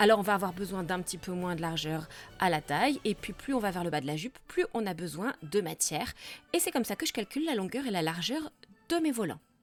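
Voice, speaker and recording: Music plays behind a woman speaking at a fairly quick pace. Her medium-pitched voice swings very widely in pitch. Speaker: cosplayer and costume maker. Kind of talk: sewing tutorial vlog.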